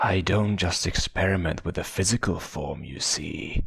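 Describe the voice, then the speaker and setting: Whispering in a put-on character voice, a man sounds raspy, soft-spoken and sing-song at a moderate pace. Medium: read story. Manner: soft-spoken, gleefully cruel, whispering.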